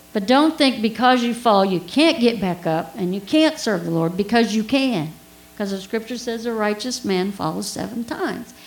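Audible room echo carries a woman's fairly high voice as she speaks at a moderate pace with lively intonation. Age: 60s. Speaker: preacher. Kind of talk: sermon. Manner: conversational, audience questions.

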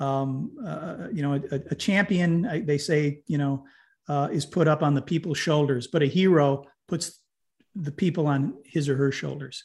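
With an American accent, a man speaks at a moderate pace and a fairly high pitch, somewhat breathy, with ordinary pitch variation. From upstate New York. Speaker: community development organisation co-founder. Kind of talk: interview.

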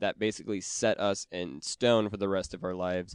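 An ordinary speaking voice from a man with a fairly low pitch and an American accent comes at a fairly quick pace with fairly even intonation, the sound dry and close with no echo over a quiet background. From Wisconsin, US Upper Midwest. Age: 30s. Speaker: podcast producer. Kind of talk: casual chat.

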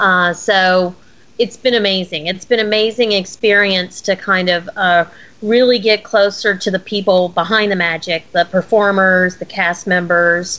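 A woman with an ordinary speaking voice talks at medium pitch. Her pace is fairly slow and her intonation fairly even. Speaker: podcaster and Disney fan. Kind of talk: casual podcast chat.

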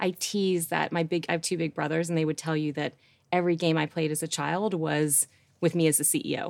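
In a normal speaking voice, a woman talks at a fairly quick pace with a fairly low pitch. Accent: American. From US Northeast, Rochester, New York. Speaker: business executive. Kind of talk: casual interview chat.

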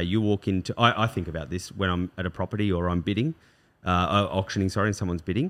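Very fast and very deep, a man with an Australian accent speaks in a very clean recording with a silent background. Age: 40s. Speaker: real estate agency director. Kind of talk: casual chat.

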